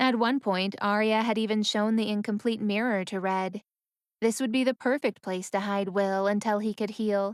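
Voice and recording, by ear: The speaker reads aloud in a natural voice, intonation fairly even, with the background quiet.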